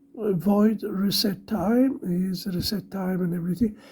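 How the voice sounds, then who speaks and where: A woman's voice comes through somewhat breathy at a medium pitch. She speaks at a fairly slow pace. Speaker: electronics hobbyist / maker. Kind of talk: tutorial. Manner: halting.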